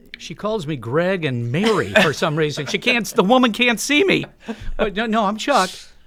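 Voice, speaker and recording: Pitched high with very wide pitch swings, a man speaks at a moderate pace. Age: 60s. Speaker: church member sharing life story. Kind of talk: interview testimony.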